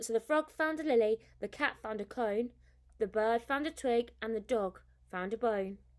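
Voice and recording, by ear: Someone is reading aloud in a natural voice here.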